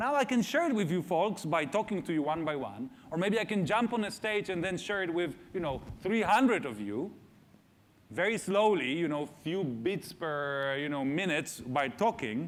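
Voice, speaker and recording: The speaker is a man with a high pitch. His voice moves in very wide pitch swings. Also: moderate pace. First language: not English. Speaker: AI researcher and speaker. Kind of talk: public talk Q&A. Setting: stage with audience in school theater. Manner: hesitant with frequent fillers.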